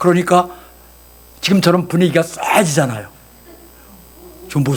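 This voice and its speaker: Over noticeable background noise, a man with a high pitch and an animated tone speaks at a moderate pace. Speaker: pastor and voice actor. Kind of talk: sermon. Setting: church service with congregation.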